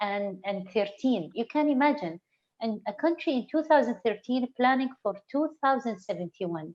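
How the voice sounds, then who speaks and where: High-pitched woman's voice, lively in its intonation. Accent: Arabic. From UAE. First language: Arabic. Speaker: interview guest. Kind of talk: online interview. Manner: halting, frequent repetitions.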